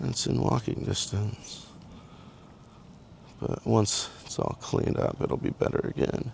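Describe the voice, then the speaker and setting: Mumbling at a fairly slow pace, a man leaves long, frequent pauses. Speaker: vlogger. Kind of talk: casual walk-and-talk vlog. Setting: outdoors walking on a trail.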